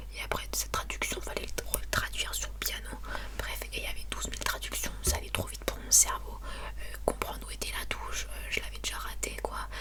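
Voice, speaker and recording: Against noticeable background noise and audible room echo, a woman speaks fairly quickly in a flat monotone at a very deep, low pitch. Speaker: ASMR creator. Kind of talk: casual storytelling to camera. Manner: fast; soft whispered ASMR delivery.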